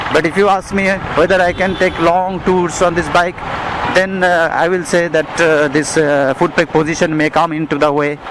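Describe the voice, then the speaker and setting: Over noticeable background noise, a man with a high pitch talks at a moderate pace in a monotone, flat intonation. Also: very even loudness. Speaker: motorcycle reviewer. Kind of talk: ride review vlog. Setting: riding a motorcycle outdoors. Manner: halting, many fillers.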